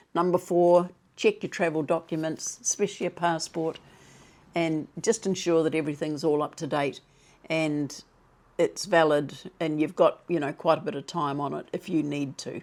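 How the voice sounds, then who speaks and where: At a moderate pace, a woman talks with a very deep, low pitch and fairly even intonation on a very clean recording with a silent background. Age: 70s. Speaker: retirement vlogger. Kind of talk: advice talk to camera.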